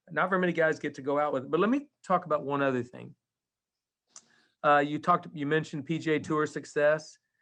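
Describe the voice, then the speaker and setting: Against a quiet background, a man with an unremarkable speaking voice talks at a fairly quick pace, his pitch fairly high and his intonation fairly even. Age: 60s. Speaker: podcast host, college golf coach. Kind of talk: podcast interview.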